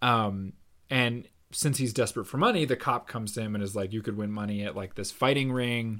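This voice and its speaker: On a very clean recording with a silent background, a man at medium pitch talks at a fairly quick pace with ordinary pitch variation. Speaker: podcast co-host. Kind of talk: casual chat. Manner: animated.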